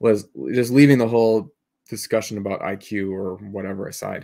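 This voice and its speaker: Here is an ordinary speaking voice with fairly even intonation. The recording is very clean and the background silent. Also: man. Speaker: podcast co-host. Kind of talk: casual discussion.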